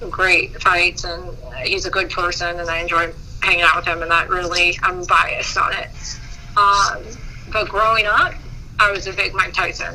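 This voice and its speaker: A woman at a moderate pace, with long, frequent pauses and noticeable background noise. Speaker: boxing promoter. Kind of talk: interview answer.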